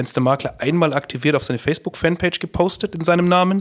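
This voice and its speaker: A man is the speaker here. The audio is dry and close, without any echo. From Upper Palatinate, Bavaria. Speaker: company founder and managing director. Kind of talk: podcast interview.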